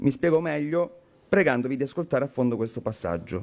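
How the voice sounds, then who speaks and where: A man with a Calabrian accent at a fairly high pitch and fairly quick pace, with lively intonation. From Calabria, southern Italy. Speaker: member of parliament; politician giving a speech. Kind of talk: conference speech. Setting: conference hall. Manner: formal. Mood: earnest, critical. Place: hall. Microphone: podium.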